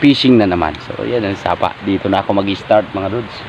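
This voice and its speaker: A man speaks at a moderate pace. Behind him, background noise is noticeable. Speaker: fishing vlogger. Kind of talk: casual vlog narration. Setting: outdoors by a stream.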